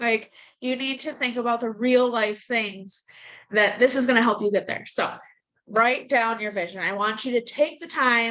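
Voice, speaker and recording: Speaking at a moderate pace, a woman has a fairly high pitch and a bright, sharp tone. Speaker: team coach. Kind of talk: motivational team call. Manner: blunt.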